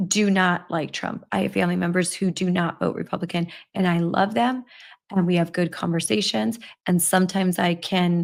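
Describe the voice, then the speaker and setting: A woman with an ordinary speaking voice talks at a moderate pace and fairly low pitch with fairly even intonation, on a very clean recording with a silent background. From Milwaukee, Wisconsin (US Midwest). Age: 50s. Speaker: livestream show host, advocacy group. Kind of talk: casual livestream chat answering viewer comments.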